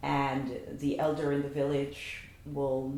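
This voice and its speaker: A woman's very deep, low voice in a Guyanese accent, dark and mellow in tone, monotone and flat, with audible room echo. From Guyana. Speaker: cultural association organizer. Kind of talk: interview.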